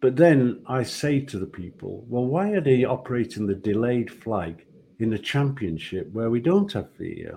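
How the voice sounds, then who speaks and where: In a Yorkshire accent, a man speaks at a medium pitch and a moderate pace. His tone is dark and mellow, with very wide pitch swings. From Yorkshire, England. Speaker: retired football referee. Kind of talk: casual interview. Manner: halting, repeats words.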